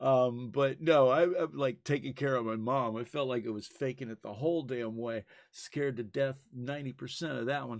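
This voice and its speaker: In a very clean recording with a silent background, a man of medium pitch speaks at a moderate pace with ordinary pitch variation and hardly any pauses. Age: 60s. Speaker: podcast host and camera operator. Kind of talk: casual chat. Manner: halting, with many fillers.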